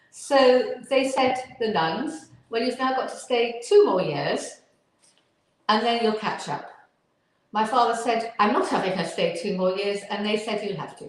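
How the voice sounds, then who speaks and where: A woman speaks at a fairly slow pace with a fairly high pitch and lively intonation. Audible room echo surrounds her voice. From northern England. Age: 70s. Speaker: Alexander teacher and physiotherapist. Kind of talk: interview.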